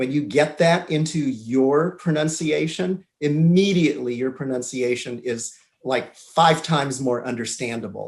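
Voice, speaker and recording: In a Southern California accent, a man talks at a fairly slow pace with a fairly high pitch and ordinary pitch variation. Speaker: English teacher. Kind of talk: interview.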